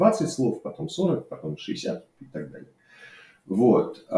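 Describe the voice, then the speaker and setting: Here a man is speaking. His pace is fairly slow. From Russia, Saint Petersburg. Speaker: software developer. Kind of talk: unscripted personal monologue. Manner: hesitant, many fillers. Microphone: cheap microphone.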